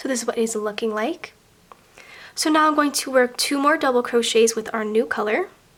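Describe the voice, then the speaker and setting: Against noticeable background noise, a woman talks at a fairly quick pace in a high pitch with ordinary pitch variation. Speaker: crochet tutorial maker. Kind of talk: tutorial. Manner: step-by-step instructional.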